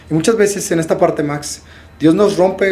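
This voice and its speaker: The man talks at a fairly quick pace with ordinary pitch variation. Audible room echo surrounds his voice. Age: 30s. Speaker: podcast host and life coach. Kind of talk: interview conversation. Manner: animated.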